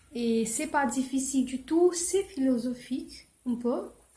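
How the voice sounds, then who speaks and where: Here is a woman with a high pitch and ordinary pitch variation. She speaks very slowly. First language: not French; English is her best language (speaking French). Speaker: book vlogger. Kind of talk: casual book review vlog. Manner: halting, many hesitations.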